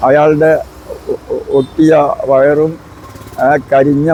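There is noticeable background noise behind a man whose voice is fairly high in pitch. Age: 80s+. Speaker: activist. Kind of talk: interview answer. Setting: outdoors.

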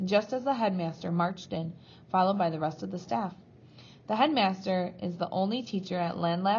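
The delivery is an unforced reading voice with ordinary pitch variation.

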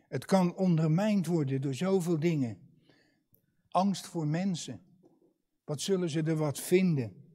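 Over a quiet background, a man with a high pitch and a dark, mellow tone speaks at a very slow pace, his ordinary pitch variation set between long, frequent pauses. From Netherlands, Katwijk; Netherlands. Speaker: preacher. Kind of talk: sermon. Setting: church. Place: church. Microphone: lapel.

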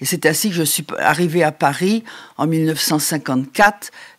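A woman speaks at a very slow pace with a very deep, low pitch and ordinary pitch variation. The background is quiet. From Champagne, northeastern France. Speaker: farmer and rural women's activist; interview guest. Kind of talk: interview testimony. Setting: at her home. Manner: halting. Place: home room.

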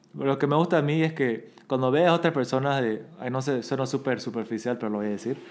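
Very fast talking from a man, his pitch varying in an ordinary way. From Bolivia. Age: 30s. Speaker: podcast guest. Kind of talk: casual chat. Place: home room. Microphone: studio mic.

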